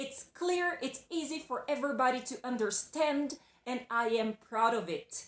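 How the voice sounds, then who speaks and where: Speaking in a Brazilian accent, a woman uses a high pitch and lively intonation at a moderate pace. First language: Portuguese. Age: adult. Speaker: English teacher. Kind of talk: video lesson. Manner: casual, conversational.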